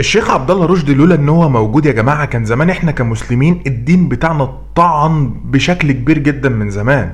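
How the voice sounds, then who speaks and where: A man's fairly high voice with an Egyptian accent and an animated tone, fairly quick and with hardly any pauses, ordinary pitch variation, audible room echo and noticeable background noise. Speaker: YouTube commentator. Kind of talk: commentary vlog. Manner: loud, raised voice.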